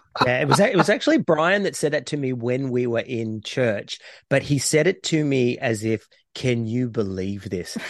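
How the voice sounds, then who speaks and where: This man has an Australian accent and a medium pitch. He talks at a moderate pace with lively intonation. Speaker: podcast co-host. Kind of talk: casual chat.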